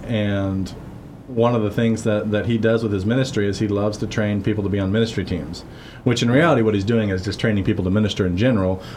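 A man talks at a very fast pace with fairly even intonation. His pitch is fairly low, and room echo is audible. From Missouri-born, raised in Guatemala from age 9 to 18. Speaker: podcast co-host, church ministry member. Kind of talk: casual conversational interview. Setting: church basement office. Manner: frequent verbal backchannel agreement.

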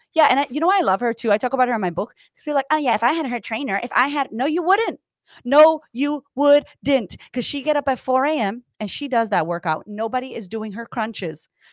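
A woman talks fairly quickly at a high pitch, in an animated tone with lively intonation and hardly any pauses. The recording is very clean, dry and close, with a silent background and no echo. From US, Puerto Rican family. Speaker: confidence coach. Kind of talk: casual interview chat.

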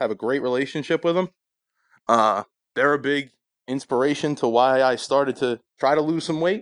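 Pausing long and often, a man talks at a moderate pace and fairly high pitch with ordinary pitch variation, in a dry, close sound with no echo and a quiet background. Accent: New Jersey. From New Jersey, Sayreville. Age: 20s. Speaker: podcast guest sharing weight-loss journey. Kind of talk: casual chat.

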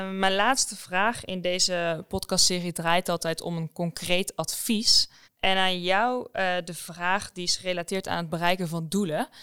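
Her tone bright and sharp, a woman speaks at a fairly slow pace with fairly even intonation in a dry, close sound with no echo. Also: medium pitch for a woman. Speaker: podcast host. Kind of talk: interview.

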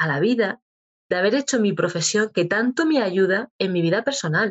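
A woman with a plain, everyday voice speaks at a medium pitch, a moderate pace and with lively intonation. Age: 40s. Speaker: clinical psychologist. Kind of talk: interview.

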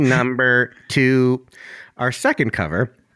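A man puts on a robotic character voice at medium pitch, speaking at a fairly slow pace on a very clean recording with a silent background. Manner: flat countdown-style.

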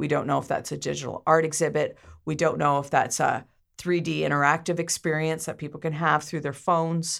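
A woman speaks at a moderate pace in a very deep, low pitch with a Canadian accent and vocal fry, on a very clean recording with a silent background. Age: 50s. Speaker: media company founder. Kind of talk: interview.

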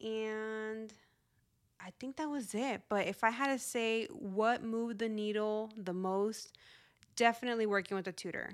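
Recorded very cleanly against a silent background, a woman with a Spanish accent speaks fairly slowly at a fairly high pitch with fairly even intonation. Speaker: podcast host, financial educator. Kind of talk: solo podcast monologue. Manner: casual, conversational.

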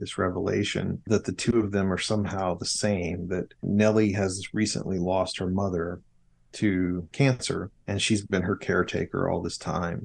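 A man with a very deep, low voice and monotone, flat intonation, against a quiet background. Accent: American. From US South, southern Arkansas. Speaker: novelist. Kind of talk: interview about his book.

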